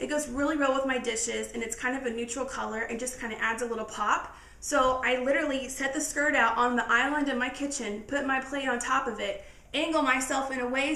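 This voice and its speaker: Projecting a raised voice, a woman talks fairly quickly at a high pitch with fairly even intonation and hardly any pauses, amid noticeable background noise and audible room echo. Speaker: lifestyle vlogger. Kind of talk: casual tutorial. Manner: fast.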